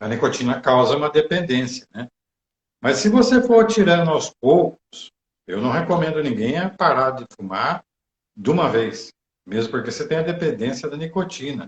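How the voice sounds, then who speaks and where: A fairly high-pitched, somewhat breathy man at a moderate pace with very wide pitch swings. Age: 60s. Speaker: meditation teacher. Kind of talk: live stream chat. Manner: hesitant.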